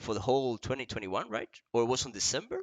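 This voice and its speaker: A man's medium-pitched voice with an Argentine accent at a very fast pace. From Argentina. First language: Spanish. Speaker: esports interviewer. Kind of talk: bilingual interview.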